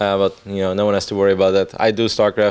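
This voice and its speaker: A man talks at a very fast pace in a fairly low voice. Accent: Dutch. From Netherlands. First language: Dutch. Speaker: esports commentator. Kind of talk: interview. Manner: casual.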